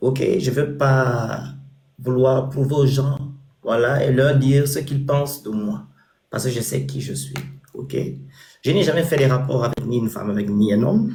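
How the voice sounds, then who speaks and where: Long, frequent pauses mark this man's fairly slow speech, which has ordinary pitch variation and audible room echo. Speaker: social media personality and charity founder. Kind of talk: interview.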